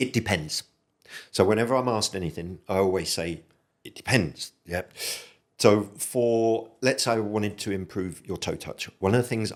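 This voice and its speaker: A man speaks at a fairly low pitch and a moderate pace with ordinary pitch variation. He has an unremarkable speaking voice. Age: 60s. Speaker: military veteran and movement coach. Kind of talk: podcast interview.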